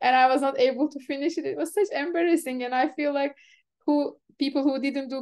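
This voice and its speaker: In a Turkish accent, a woman with a dark, mellow tone speaks at a moderate pace. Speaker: event organizer and software developer. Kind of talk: casual chat.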